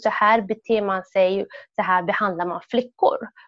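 With an ordinary speaking voice, a woman keeps a medium tempo and fairly level intonation. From Sweden, Somali family. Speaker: women's rights activist. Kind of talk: testimony.

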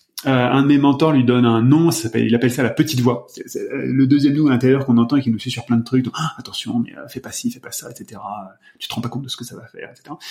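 Talking at a very fast pace, a man with a medium-pitched voice and fairly even intonation swings widely in loudness over noticeable background noise. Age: 40s. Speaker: personal development practitioner. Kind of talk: casual chat. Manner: halting.

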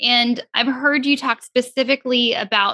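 Her voice is high, with a bright, sharp tone, and the woman talks at a fairly slow pace. The sound is dry and close, with no echo. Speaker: counselor co-host. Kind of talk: podcast interview.

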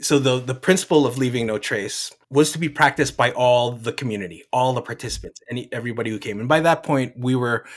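Using an ordinary speaking voice, a man with an American accent talks at a fairly quick pace with fairly even intonation. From New Jersey, US East Coast. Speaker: environmental restoration manager. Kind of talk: interview. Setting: live event.

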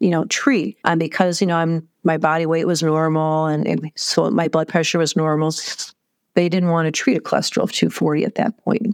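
A woman's ordinary speaking voice, fairly low in pitch, at a fairly quick pace with fairly even intonation, on a very clean recording with a silent background. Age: 50s. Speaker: heart surgery patient. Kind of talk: interview storytelling.

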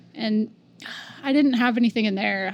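An ordinary speaking voice comes through with fairly even intonation. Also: woman. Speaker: art show organizer. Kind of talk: casual interview chat.

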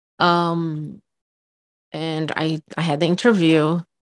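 Against a quiet background, the speaker talks with a Brazilian accent. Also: woman. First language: Portuguese. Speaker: podcast co-host. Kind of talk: casual chat.

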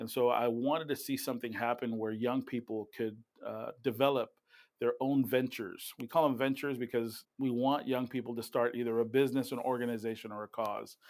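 The recording is very clean with a silent background. A man talks at a fairly quick pace in a flat monotone. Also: medium pitch for a man. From Puerto Rico, raised as army child. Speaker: community nonprofit founder and minister. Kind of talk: interview. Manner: hesitant, many fillers.

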